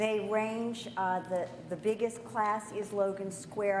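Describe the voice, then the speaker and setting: A woman at medium pitch, monotone and flat, with audible room echo. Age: 60s. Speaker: yoga teacher. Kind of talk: Q&A session. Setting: conference with audience. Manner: halting.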